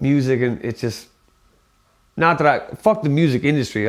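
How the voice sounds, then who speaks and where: Talking fairly quickly, the man speaks in an American accent. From US Midwest (Ohio, Toledo/Fremont). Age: 30s. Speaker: rapper. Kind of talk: casual interview monologue. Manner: loud; talkative, filler-heavy.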